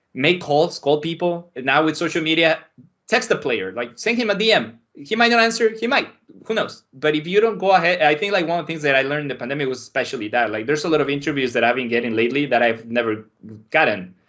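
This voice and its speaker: Speaking at a very fast pace, a man with a fairly high pitch swings his pitch very widely. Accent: Spanish. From Mexico City. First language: Spanish. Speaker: sports anchor and soccer analyst. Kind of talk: casual podcast interview.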